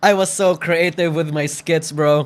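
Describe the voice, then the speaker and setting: In a very clean recording with a silent background, a man with a slight Filipino accent speaks in an animated tone at a fairly slow pace. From Philippines. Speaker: VTuber commentary YouTuber. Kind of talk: reaction video commentary. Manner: casual, animated.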